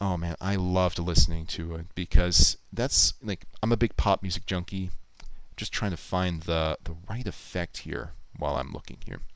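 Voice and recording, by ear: A man's low-pitched voice with a clear, smooth tone, a moderate pace and ordinary pitch variation.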